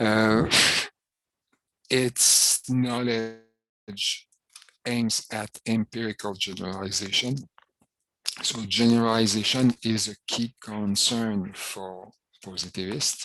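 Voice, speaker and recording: Recorded dry and close with no echo, a man with a medium-pitched voice speaks very slowly in a fairly even intonation, leaving long, frequent pauses. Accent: French. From Quebec. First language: French. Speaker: professor. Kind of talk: lecture. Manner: hesitant, frequent fillers.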